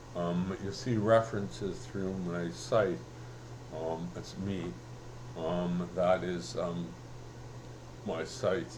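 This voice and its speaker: Amid audible room echo, a man with a very deep, low pitch speaks at a very slow pace with lively intonation and long, frequent pauses. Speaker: vlogger and self-published writer. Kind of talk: casual vlog monologue. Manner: halting, many fillers.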